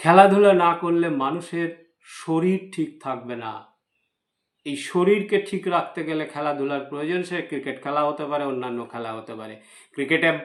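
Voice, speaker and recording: A man speaks with a fairly high pitch and ordinary pitch variation. His loudness swings widely. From West Bengal, India. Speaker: YouTube news commentator. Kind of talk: opinion commentary monologue. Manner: halting, with frequent pauses.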